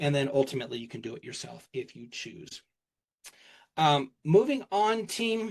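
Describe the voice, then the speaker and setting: A man's fairly high voice at a moderate pace, animated in tone, with very wide pitch swings and big swings in loudness. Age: 50s. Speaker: keynote speaker. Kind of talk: keynote talk. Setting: stage with audience.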